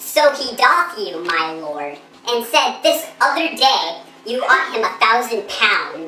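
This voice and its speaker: A put-on character voice swings very widely in pitch at a fairly slow pace. There is a slight echo. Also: woman, high pitch for a woman. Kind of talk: Shakespearean verse acting. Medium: short film. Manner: excitable, protesting.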